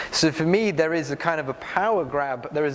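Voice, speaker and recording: Over noticeable background noise, a man with a British accent speaks at a very fast pace, his pitch varying in an ordinary way. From UK. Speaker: health nonprofit leader on a panel. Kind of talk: panel discussion. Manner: hesitant, many fillers.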